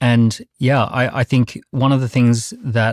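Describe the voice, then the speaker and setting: A man with an Australian accent at medium pitch and fairly even intonation, in a very clean, silent recording with a dry, close sound and no echo. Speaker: entrepreneur. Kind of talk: panel debate.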